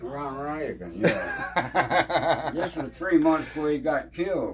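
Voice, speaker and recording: A man's very slow speech against noticeable background noise. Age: 80s+. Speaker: retired photographer. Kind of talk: interview answer.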